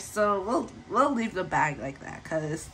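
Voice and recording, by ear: At a moderate pace, a woman speaks with lively intonation, a fairly bright tone and a fairly low pitch.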